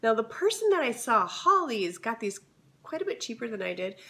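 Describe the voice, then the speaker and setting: Noticeable background noise sits behind a woman's voice. Her pitch swings very widely. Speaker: lifestyle vlogger. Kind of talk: casual haul video.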